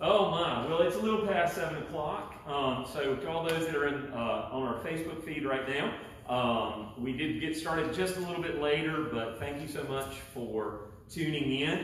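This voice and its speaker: The voice moves at a moderate pace with ordinary pitch variation. Strong room echo and light background noise surround it. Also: man. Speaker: pastor. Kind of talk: welcome announcements before sermon. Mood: warm, chatty. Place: church. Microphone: camera far.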